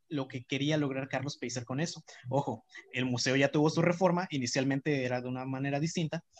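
Speaking fairly quickly in an unremarkable speaking voice, a man with a fairly high pitch keeps his intonation fairly even, the sound dry and close with no echo. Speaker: architecture student. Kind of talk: casual chat.

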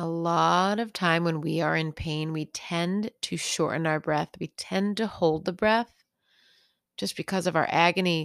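In a very clean recording with a silent background and a dry, close sound with no echo, a woman with a plain, everyday voice speaks fairly slowly at a fairly low pitch with ordinary pitch variation. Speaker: meditation teacher. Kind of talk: guided meditation for pain relief, gently leading breath and body awareness. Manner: gentle, soothing and unhurried, with slow reassuring pacing; warm and casual, lightly humorous and encouraging.

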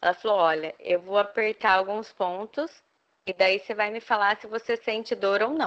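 A woman's normal speaking voice at medium pitch and a fairly slow pace. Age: 30s. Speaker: kidney transplant patient with fibromyalgia. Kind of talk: interview, personal testimony.

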